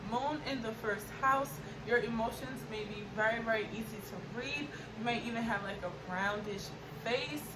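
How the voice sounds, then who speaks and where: Amid audible room echo and noticeable background noise, a woman talks at a moderate pace with a fairly high pitch and lively intonation. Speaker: astrology YouTuber. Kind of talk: informal tutorial.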